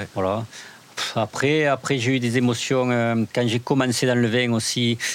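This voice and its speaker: A man is speaking at a medium pitch. His pace is fairly slow. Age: 40s. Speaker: winemaker. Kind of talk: casual interview. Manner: halting.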